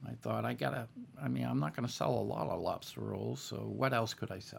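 The man speaks at a very deep, low pitch, with very wide pitch swings and vocal fry. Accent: American. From Boston. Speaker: army veteran. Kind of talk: interview. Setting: studio.

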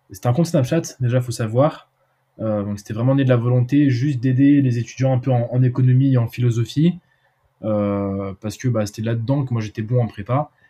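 Fairly quick and somewhat breathy, a man speaks in a dark, mellow tone. His pitch is medium, with ordinary variation. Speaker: student entrepreneur. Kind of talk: casual chat. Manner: halting.

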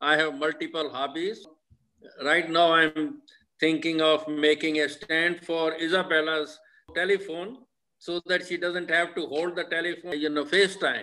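A man's high-pitched voice, monotone and flat in intonation, at a moderate pace. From Punjab, Pakistan side of pre-partition India. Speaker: retired craftsman and grandfather. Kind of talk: casual family interview.

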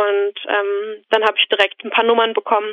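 The woman's pace is moderate. Her voice sits at a fairly high pitch. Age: 20s. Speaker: student and podcast caller. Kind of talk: casual interview conversation. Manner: hesitant, many fillers.

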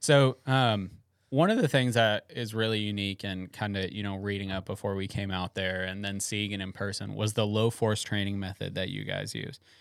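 Pitched fairly low, a man with an unremarkable speaking voice talks at a moderate pace with hardly any pauses. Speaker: podcast host. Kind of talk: casual chat. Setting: studio.

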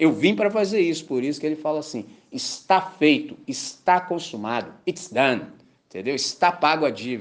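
A man with a fairly high pitch speaks at a moderate pace in an animated tone, his voice making very wide pitch swings. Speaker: pastor. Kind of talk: sermon.

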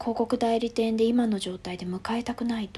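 A woman's fairly high voice, dark and mellow in tone, with fairly even intonation. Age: 30s. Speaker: stuffed-toy business founder. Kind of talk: interview. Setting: video call.

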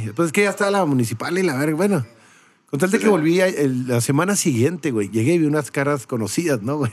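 Here a man talks in a normal speaking voice with a fairly high pitch. His intonation is lively and his pace fairly quick. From Mexico. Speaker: podcast host. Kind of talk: casual chat.

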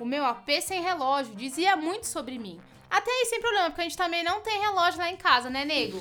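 A woman's raised, projected voice at an extremely high pitch, animated in tone with very wide pitch swings, at a fairly quick pace over music in the background. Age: 30s. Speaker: comedian podcast host. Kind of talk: casual comedic monologue. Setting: at home.

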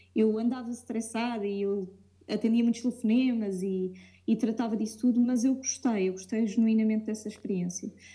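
Amid noticeable background noise, a woman talks at a fairly quick pace. Her pitch is fairly high and her intonation monotone and flat. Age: 20s. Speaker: aspiring curator. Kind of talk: casual interview.

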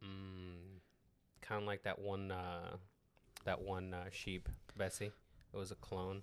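Very slow and monotone, a man with a Spanish accent speaks at a very deep, low pitch with long, frequent pauses and flat intonation, on a very clean recording with a silent background. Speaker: podcast co-host. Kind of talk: casual chat.

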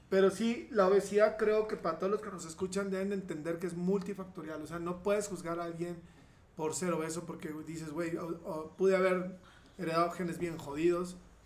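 At a fairly quick pace, a man talks in a high pitch with fairly even intonation over noticeable background noise. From Mexico, Saltillo (Coahuila). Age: 40s. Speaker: bariatric surgeon. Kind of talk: casual chat. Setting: indoors during rain and hail.

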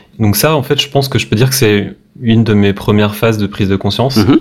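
A man with a fairly low pitch and ordinary pitch variation, over noticeable background noise. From Brittany, France (Brest). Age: 30s. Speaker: web developer. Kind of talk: casual interview. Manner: hesitant, many repetitions.

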